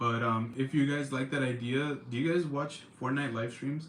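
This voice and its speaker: Music plays in the background as someone with an American accent speaks at a moderate pace with fairly even intonation. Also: man. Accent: California accent (self-described, joking). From California, Central Valley. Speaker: livestream host. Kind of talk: casual chat. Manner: casual, filler-heavy.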